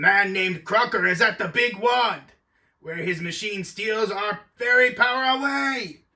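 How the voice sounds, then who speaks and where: Put-on character voice from a male speaker, moderate pace. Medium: fan dub. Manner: commanding, gruff.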